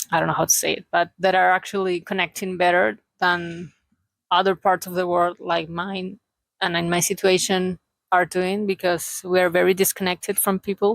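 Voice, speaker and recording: A woman with a Chilean accent, monotone, flat intonation, dry, close sound with no echo, on a very clean recording with a silent background. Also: medium pitch for a woman, moderate pace. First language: Spanish. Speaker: vlogger. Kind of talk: casual vlog monologue. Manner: halting.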